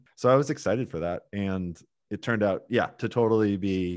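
A man speaks at a moderate pace with a fairly low pitch and ordinary pitch variation, in an American accent. It's an ordinary speaking voice over a quiet background. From US Pacific Northwest, Portland, Oregon. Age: 30s. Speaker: amateur marathon runner. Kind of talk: interview conversation.

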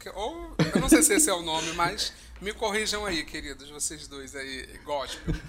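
Noticeable background noise and audible room echo around speech at a moderate pace. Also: man. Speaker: podcast co-host. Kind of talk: casual chat. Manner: animated.

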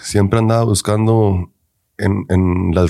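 Here a man speaks with fairly low pitch. His tone is dark and mellow. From Denver, Colorado, US, Mexican-American family. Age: 20s. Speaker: men's physique bodybuilder. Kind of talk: casual chat.

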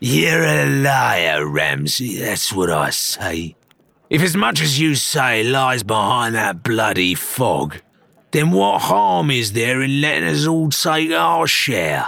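Using a raspy put-on character voice, a man speaks at a fairly slow pace and medium pitch with very wide pitch swings. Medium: read story. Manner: belligerent, sneering.

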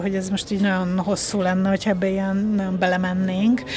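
A woman speaks at medium pitch and a fairly quick pace. Noticeable background noise is present. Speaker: film journalist and script supervisor. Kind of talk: casual chat.

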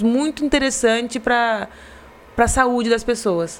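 High-pitched female voice with fairly even intonation. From Brazil, Garça (São Paulo state interior). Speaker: marketing director of family company. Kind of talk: casual interview. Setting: live podcast studio. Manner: halting, repeats words.

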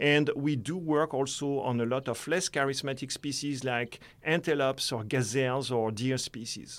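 A man's medium-pitched voice with a French accent at a moderate pace, fairly even intonation and hardly any pauses, on a very clean recording with a silent background. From France. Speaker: conservation biologist. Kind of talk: interview. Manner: hesitant, with fillers and repetitions.

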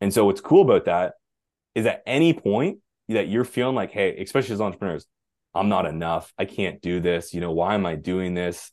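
Lively intonation marks a normal speaking voice at a fairly quick pace. The background is quiet. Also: man, fairly low pitch for a man. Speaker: health and energy coach. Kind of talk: casual interview conversation. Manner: relaxed, conversational, uses 'man' and 'dude' often.

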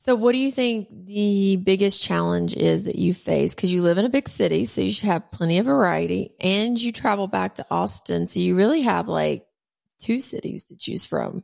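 A woman speaks at a moderate pace with a Southern US accent. Her recording is very clean, with a silent background. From US South, Alabama. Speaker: podcast host. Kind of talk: casual interview.

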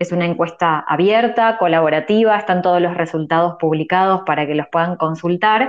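In an Argentine accent, a woman speaks at a moderate pace. Her pitch is fairly low, with ordinary pitch variation. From Argentina. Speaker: journalist. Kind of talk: casual chat. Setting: audio chat room online.

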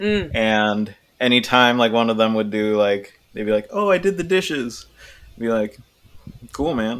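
At a moderate pace with lively intonation, a plain, everyday voice with an American accent. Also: man, medium pitch for a man. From San Diego, California. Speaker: singer and guitarist in a band. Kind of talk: casual chat.

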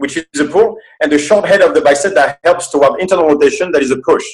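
A man with a French accent, high pitch, ordinary pitch variation, and a fairly quick pace. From France. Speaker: movement specialist and seminar coach. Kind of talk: casual interview chat.

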